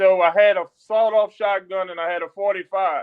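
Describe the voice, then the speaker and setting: A high-pitched man with a Louisiana accent and fairly even intonation. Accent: Southern US (Louisiana). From Louisiana, US South. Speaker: military chaplain. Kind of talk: testimony.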